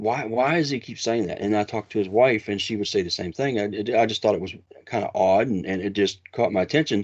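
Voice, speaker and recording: With an Appalachian accent, a man talks at a very fast pace in a fairly low pitch. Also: ordinary pitch variation. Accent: Appalachian American. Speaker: Bigfoot researcher. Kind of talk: interview storytelling. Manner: halting, many restarts.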